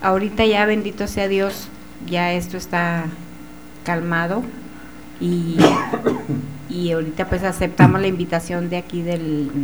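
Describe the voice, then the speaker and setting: A woman with a fairly low pitch speaks slowly-ish with fairly even intonation and long, frequent pauses, amid audible room echo and noticeable background noise. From Chihuahua, Mexico. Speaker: author and medium. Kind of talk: testimony.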